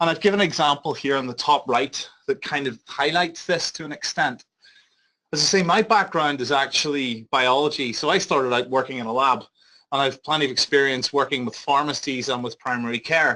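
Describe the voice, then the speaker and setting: Speaking in a Northern Irish accent, a man has a fairly high pitch and a bright, sharp tone. His pace is fairly quick, his pitch variation ordinary, and the recording very clean with a silent background. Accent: Northern Irish (Belfast). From Northern Ireland, Belfast. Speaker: big data company health lead, biologist. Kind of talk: conference presentation. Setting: conference seminar with audience. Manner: loud; fast.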